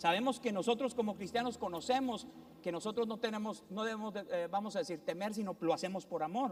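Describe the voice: A man with a high pitch talks at a fairly quick pace, with ordinary pitch variation.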